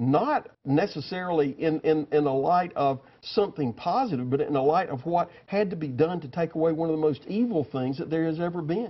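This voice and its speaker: An ordinary speaking voice from a man, fairly high in pitch, with lively intonation at a fairly quick pace. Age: 60s. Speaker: former state senator. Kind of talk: TV news interview. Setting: TV studio.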